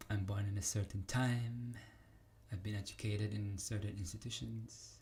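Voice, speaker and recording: A man with a fairly low, somewhat breathy voice speaks at a moderate pace with ordinary pitch variation. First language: not English. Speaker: vlogger. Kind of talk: casual monologue. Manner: halting.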